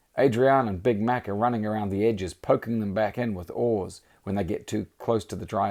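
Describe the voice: Intonation fairly even throughout a plain read-aloud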